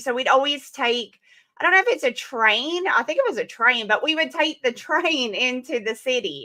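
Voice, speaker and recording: Here is a woman with an Alabama accent and a bright, sharp tone. Her intonation is lively. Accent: mild Alabama Southern. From Alabama, US South. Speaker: comic book creator. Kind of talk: casual chat.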